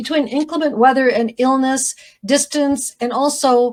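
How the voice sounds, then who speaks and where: A woman's high-pitched voice. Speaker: county commissioner. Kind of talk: formal presentation of legislative priorities. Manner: fast.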